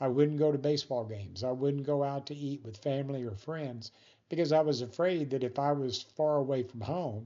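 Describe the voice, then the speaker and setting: A man's fairly high, fairly quick voice with fairly even intonation, a plain, everyday voice. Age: 60s. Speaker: vlogger living with spinal muscular atrophy. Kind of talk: personal video monologue. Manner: casual, conversational with fillers.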